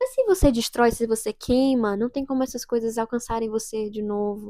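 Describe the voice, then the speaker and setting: A woman's fairly quick speech with ordinary pitch variation, in a dry, close sound with no echo. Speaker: youtuber. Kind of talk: casual vlog monologue. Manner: soft-spoken; halting. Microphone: new microphone.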